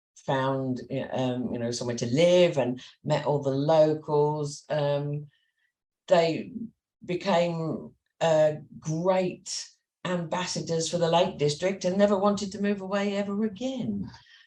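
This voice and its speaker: In a Cumbrian accent, a woman speaks with a dark, mellow tone and lively intonation. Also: fairly low pitch for a woman, fairly slow pace. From Carlisle, Cumbria, with years in Kent. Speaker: business owner. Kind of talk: interview.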